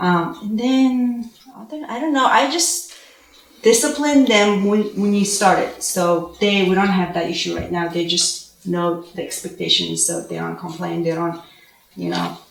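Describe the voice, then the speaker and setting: A woman with a Mongolian accent speaks at a fairly slow pace, with audible room echo and noticeable background noise. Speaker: homeschooling parent, panelist. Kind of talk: panel discussion.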